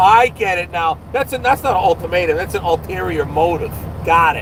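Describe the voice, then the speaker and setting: A man talks in a New Jersey accent. Noticeable background noise is present. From New Jersey, US. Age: 50s. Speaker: truck driver and vlogger. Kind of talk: live stream chat reading viewer comments. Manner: casual, hesitant with fillers.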